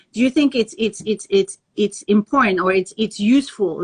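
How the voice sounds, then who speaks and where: A woman speaks with a fairly high pitch and a somewhat breathy voice. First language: Tahitian or French. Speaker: language school founder and live show host. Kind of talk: live interview. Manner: animated.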